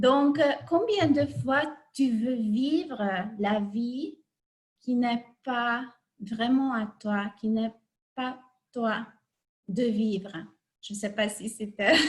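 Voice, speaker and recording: The speech moves at a very slow pace with long, frequent pauses, ordinary pitch variation, and big swings in loudness. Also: woman, fairly high pitch for a woman. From Hungary. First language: Hungarian (speaking French). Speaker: life coach. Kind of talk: online talk. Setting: video call. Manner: halting.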